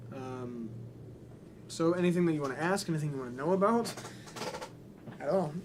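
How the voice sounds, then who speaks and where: The speech goes at a fairly quick pace with audible room echo. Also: man. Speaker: musician livestreamer. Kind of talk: casual livestream Q&A. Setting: live stream. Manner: hesitant, many fillers.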